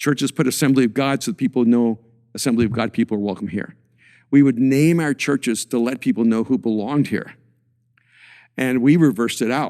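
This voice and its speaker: Against a silent background in a very clean recording, a man talks at a fairly quick pace with a dark, mellow tone, ordinary pitch variation, and long, frequent pauses. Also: medium pitch for a man, dry, close sound with no echo. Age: 60s. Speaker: pastor and author. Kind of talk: casual chat.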